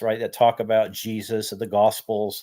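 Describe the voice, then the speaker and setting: A man talks at a moderate pace. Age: 60s. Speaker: vlogger. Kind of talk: casual monologue vlog. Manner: halting, many restarts.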